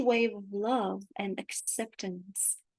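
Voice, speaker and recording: With a Romanian accent, the speaker talks at a very slow pace over a quiet background. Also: woman. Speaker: spiritual channeler. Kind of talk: spiritual talk. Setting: livestream on video call. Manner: halting.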